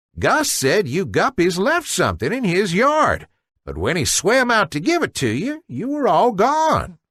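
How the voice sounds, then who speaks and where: The delivery is a put-on character voice pitched in the middle range. Its speed is moderate. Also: quiet background. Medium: read story.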